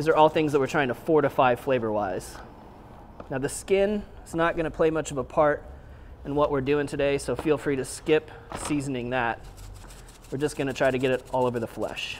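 Fairly quick man's voice with ordinary pitch variation over light background noise. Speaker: chef host. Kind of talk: tutorial.

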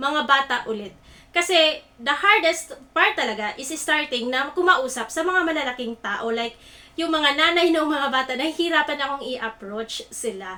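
A woman's high, raised, projected voice, fairly slow, with lively intonation. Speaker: online talk host. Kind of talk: motivational livestream talk. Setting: live stream.

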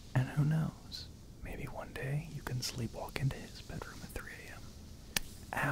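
Whispering in a gentle tone, the speaker goes at a fairly slow pace. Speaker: audio drama voice actor. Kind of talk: roleplay audio drama, intimate soft talk. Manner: soft-spoken, gentle bedtime voice.

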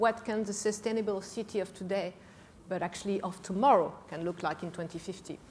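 A somewhat breathy woman speaks fairly quickly with fairly even intonation over light background noise. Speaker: panelist. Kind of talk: panel discussion answer. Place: stage. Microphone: lapel.

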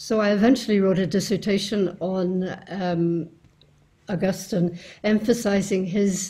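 Speaking fairly slowly, a woman with an Irish accent has a dark, mellow tone that is somewhat breathy. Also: fairly even intonation. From Ireland. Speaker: philosophy scholar and author; interviewee. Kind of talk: recorded self-introduction talk. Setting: home study. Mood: calm, reflective. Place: home room.

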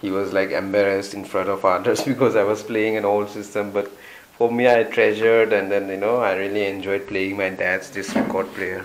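Against light background noise, a man with a fairly low pitch talks at a fairly quick pace in a monotone, flat intonation. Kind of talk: casual vlog chat. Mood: nostalgic, relaxed. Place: home room. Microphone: phone near.

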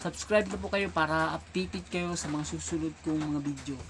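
The speaker is a man at a moderate pace. His pitch moves with ordinary variation. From Philippines. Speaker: vlogger. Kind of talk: casual comedic monologue. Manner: animated.

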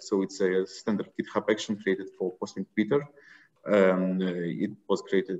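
A man talks at a moderate pace in a fairly low pitch, with a plain, everyday voice. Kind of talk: tech talk with screen demo.

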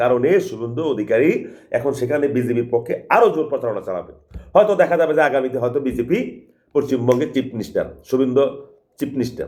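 An ordinary speaking voice with lively intonation rises and falls throughout. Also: man, fairly high pitch for a man. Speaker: political commentator. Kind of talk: political monologue.

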